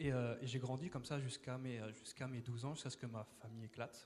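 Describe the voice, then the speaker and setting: Somewhat breathy, a man talks at a fairly quick pace in a medium pitch with ordinary pitch variation. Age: 20s. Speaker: church member giving testimony. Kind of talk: testimony. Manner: hesitant, many fillers and repetitions.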